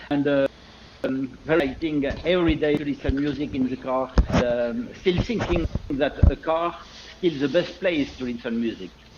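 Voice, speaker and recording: A man with a non-native accent, fairly high pitch, moderate pace and ordinary pitch variation, over noticeable background noise. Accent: non-native English speaker. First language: French. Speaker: loudspeaker designer and company owner. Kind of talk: interview. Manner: halting, many fillers.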